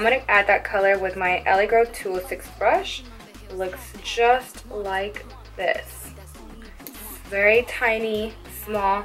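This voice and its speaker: A woman at medium pitch and a fairly slow pace, with music in the background. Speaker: makeup tutorial creator. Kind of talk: makeup tutorial voiceover.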